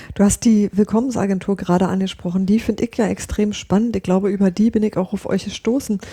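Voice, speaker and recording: The voice has a dark, mellow tone and is somewhat breathy. It moves at a very fast pace with monotone, flat intonation. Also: woman, medium pitch for a woman. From Brandenburg. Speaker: podcast host. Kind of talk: interview.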